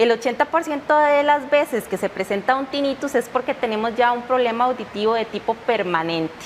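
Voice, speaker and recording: Over noticeable background noise, a woman with a high pitch talks at a fairly quick pace with hardly any pauses and ordinary pitch variation. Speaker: audiologist. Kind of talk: TV interview.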